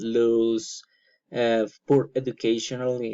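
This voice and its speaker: This is a man speaking at a medium pitch. His intonation stays fairly even. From Colombia. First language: Spanish. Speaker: student. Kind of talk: class presentation. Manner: halting, many fillers.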